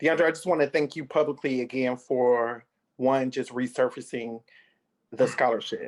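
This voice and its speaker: A man with an unremarkable speaking voice, medium pitch, moderate pace and fairly even intonation. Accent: American. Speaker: scholarship organizer. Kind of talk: video call ceremony speech.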